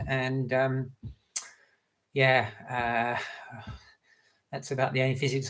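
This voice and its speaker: At a medium pitch, a man's voice sounds somewhat breathy. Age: 60s. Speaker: running coach and author. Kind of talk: live Q&A session. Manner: halting, many fillers.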